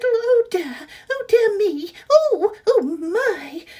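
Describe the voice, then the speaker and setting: An extremely high, squeaky put-on character voice at a very slow pace. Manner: fretful, anxious.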